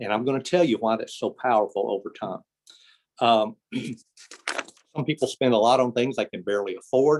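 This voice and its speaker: Heard in a dry, close sound with no echo, a man at a medium pitch moves at a fairly quick pace with ordinary pitch variation and long, frequent pauses. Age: 60s. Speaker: retirement plan speaker. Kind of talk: presentation to professional meeting. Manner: fast.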